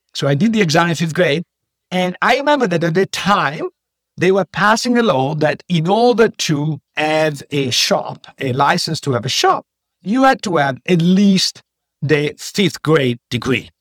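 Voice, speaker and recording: With an Italian accent, a man speaks at a fairly slow pace and a high pitch. His intonation is lively, and the sound is dry and close, with no echo. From Italy (Padua, Veneto). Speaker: economics professor. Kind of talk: interview.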